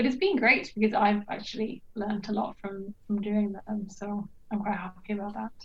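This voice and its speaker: Somewhat breathy and medium in pitch, a woman speaks at a fairly quick pace with monotone, flat intonation. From Norway. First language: Norwegian. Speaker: archaeologist and PhD student. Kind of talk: casual interview chat. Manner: hesitant with many fillers.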